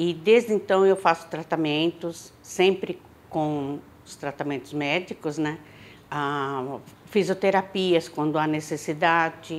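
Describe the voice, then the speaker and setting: A woman speaks at a very slow pace in a fairly low pitch. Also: ordinary pitch variation, big swings in loudness. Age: 60s. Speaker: patient. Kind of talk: testimony.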